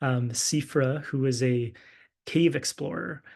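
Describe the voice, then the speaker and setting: Against a quiet background, a man speaks somewhat breathily at a medium pitch with ordinary pitch variation. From English-speaking Canada. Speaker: physician and clinical fellow presenting research. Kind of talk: lecture.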